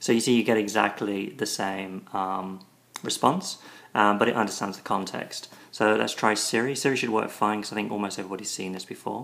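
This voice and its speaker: A man talks at a fairly quick pace with a fairly low pitch and fairly even intonation. His loudness swings widely. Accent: British. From Britain. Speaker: tech video reviewer. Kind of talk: tutorial demo. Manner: hesitant, many ums and repeats.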